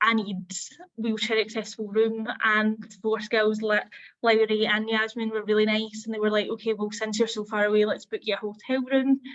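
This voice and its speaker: With a Scottish accent, a woman speaks at a moderate pace in a fairly high voice with flat, monotone intonation. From Scotland. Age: 20s. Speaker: apprentice. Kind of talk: testimony. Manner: hesitant, with filler words.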